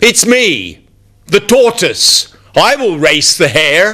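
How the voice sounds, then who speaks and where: A man puts on a character voice, speaking very slowly at a high pitch. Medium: read story.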